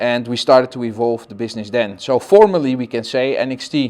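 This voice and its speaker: This man has a Dutch accent and a medium pitch. He talks at a fairly quick pace against a quiet background. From Netherlands. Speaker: company founder. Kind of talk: interview. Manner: halting.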